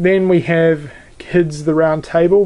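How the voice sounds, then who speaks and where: A man with a fairly high voice speaks in a flat, monotone way. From New Zealand. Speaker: YouTuber, video collector. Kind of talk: casual show-and-tell video. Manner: hesitant, many fillers.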